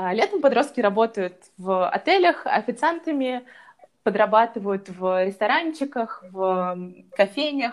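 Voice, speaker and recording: This woman's pitch is fairly high and swings very widely. She speaks at a fairly slow pace. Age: 20s. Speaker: lifestyle blogger. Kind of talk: casual interview chat.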